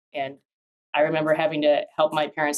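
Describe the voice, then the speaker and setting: With an Upper Midwest accent, a woman speaks at a fairly quick pace in a very deep, low pitch. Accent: Upper Midwest American. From Minnesota, US. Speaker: business attorney. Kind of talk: interview conversation.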